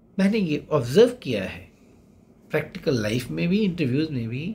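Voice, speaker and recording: The voice belongs to a man. It swings very widely in pitch. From India. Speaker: SSB interview coach. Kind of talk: monologue tutorial. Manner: code-switching Hindi-English. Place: home room. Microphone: phone near.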